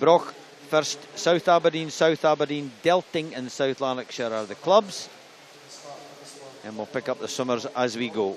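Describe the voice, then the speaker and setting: Amid noticeable background noise, a man talks at a moderate pace in a fairly high pitch with ordinary pitch variation, big swings in loudness, and long, frequent pauses. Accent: Scottish. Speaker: swimming commentator. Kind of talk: live commentary.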